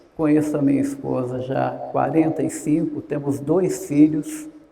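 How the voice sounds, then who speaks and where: The speech moves at a fairly slow pace. Audible room echo can be heard. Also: man. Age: 60s. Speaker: gerontologist. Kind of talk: lecture. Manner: conversational.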